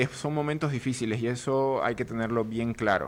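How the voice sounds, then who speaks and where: In a normal speaking voice, the man talks at a moderate speed with ordinary pitch variation. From Bolivia. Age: 30s. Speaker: political analyst. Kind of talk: studio interview. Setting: studio.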